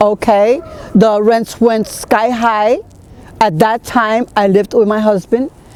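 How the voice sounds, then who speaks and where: Noticeable background noise accompanies a woman with a New York accent whose fairly high voice has fairly even intonation, recorded with a dry, close sound and no echo. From Brooklyn, New York. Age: 60s. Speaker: long-time resident. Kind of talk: interview.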